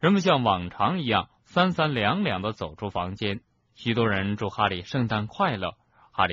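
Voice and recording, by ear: A passage is being read aloud in a natural voice.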